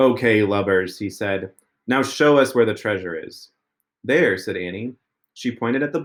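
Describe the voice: The background stays quiet. What you hear is plain reading aloud.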